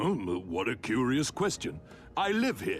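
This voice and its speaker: Using a put-on character voice at a medium pitch, a man speaks over clear background noise. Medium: video game. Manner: courtly, formal.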